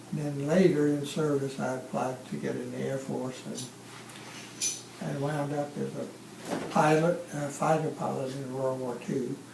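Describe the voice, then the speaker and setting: Spoken in a Louisiana accent at a fairly slow pace, the voice keeps fairly even intonation over audible room echo and noticeable background noise. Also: man, fairly high pitch for a man. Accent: Southern US (Louisiana). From Louisiana, US South. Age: 90s. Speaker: war veteran. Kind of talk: oral history interview.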